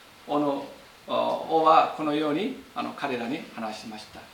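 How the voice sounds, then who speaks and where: A man speaks at a very slow pace with a fairly high pitch. Noticeable background noise is present. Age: 50s. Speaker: pastor. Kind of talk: sermon. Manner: halting.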